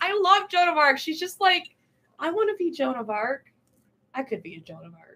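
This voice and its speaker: A woman with an American accent projects a raised voice at an extremely high pitch and moderate pace, with very wide pitch swings, big swings in loudness, and long, frequent pauses. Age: 20s. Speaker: parish ministry staff. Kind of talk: casual chat.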